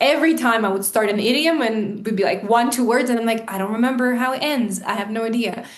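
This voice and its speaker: Speaking at a fairly quick pace with a Russian accent, this voice has ordinary pitch variation and audible room echo. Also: woman. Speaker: English teacher. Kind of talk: casual chat.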